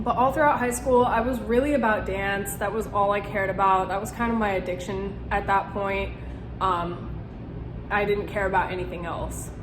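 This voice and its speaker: Heard with audible room echo and noticeable background noise, a woman speaks at a moderate pace. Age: 20s. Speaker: youtuber sharing recovery story. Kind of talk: personal testimony vlog. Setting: one-take home video. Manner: hesitant, many fillers; casual.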